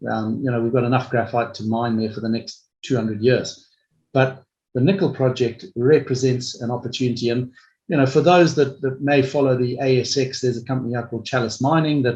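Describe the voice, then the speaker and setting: At a fairly quick pace, a man with a medium pitch speaks in a somewhat breathy voice with fairly even intonation. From Africa. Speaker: mining company executive. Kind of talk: investor webinar Q&A. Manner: hesitant, many fillers and repeats.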